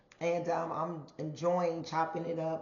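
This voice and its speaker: A woman's fairly low voice, with audible room echo and noticeable background noise. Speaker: podcast host. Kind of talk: casual monologue podcast.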